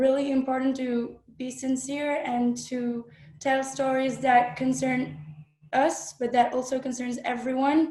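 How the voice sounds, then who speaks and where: A woman speaks very slowly in a high voice. Her tone is dark and mellow. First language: French. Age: 20s. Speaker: filmmaker and actress. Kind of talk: panel discussion. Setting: webinar video call. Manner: halting.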